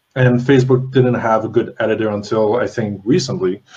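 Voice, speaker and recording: A man with an unremarkable speaking voice talks at a fairly quick pace, medium in pitch with fairly even intonation. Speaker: interview host. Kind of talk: live Q&A interview.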